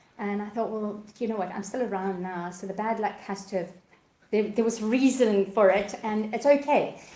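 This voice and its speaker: Audible room echo surrounds a woman speaking at a medium pitch. She keeps a moderate pace and fairly even intonation. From Zimbabwe. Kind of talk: interview testimony. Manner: hesitant, with fillers.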